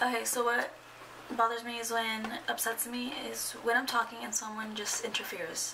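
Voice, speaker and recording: A woman speaks at a moderate pace with a fairly high pitch and fairly even intonation. Noticeable background noise sits behind her. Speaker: lifestyle vlogger; vlogger. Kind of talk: casual vlog monologue. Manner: chatty, rambling with fillers. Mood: chatty, exasperated at times. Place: home room. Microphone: phone near.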